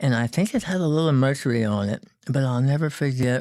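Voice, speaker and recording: With a Texan accent, a man speaks at a moderate pace in a dark, mellow tone. His pitch varies in an ordinary way, and the recording is very clean with a silent background. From Texas, San Antonio. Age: 60s. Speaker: boat builder. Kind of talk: interview. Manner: halting.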